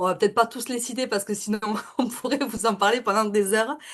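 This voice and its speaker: A Toulouse accent over a quiet background. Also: woman. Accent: southern French (Toulouse). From southern France, Toulouse area. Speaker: network marketing seller and real estate worker. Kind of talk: webinar presentation. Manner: hesitant, many fillers.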